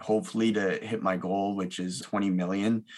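In a very clean recording with a silent background, a man with an ordinary speaking voice and a Canadian accent talks at a moderate pace in a fairly low pitch with fairly even intonation. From Ontario, Canada (Milton and Mississauga). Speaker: mortgage broker. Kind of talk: interview.

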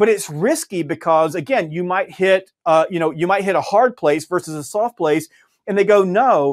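A man with a high pitch and ordinary pitch variation speaks at a moderate pace in a very clean recording with a silent background and a dry, close sound with no echo. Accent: Southern US. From US South, Georgia. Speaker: sales author and trainer. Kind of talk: interview.

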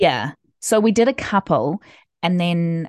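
A woman's very slow speech with ordinary pitch variation, set against a quiet background. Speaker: podcast co-host and self-published author. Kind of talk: casual chat. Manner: laid back.

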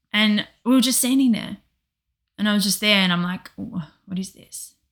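A woman talks in a plain, everyday voice. Her pace is moderate, with ordinary pitch variation. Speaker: co-host, practitioner giving sessions. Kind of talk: emotional casual conversation.

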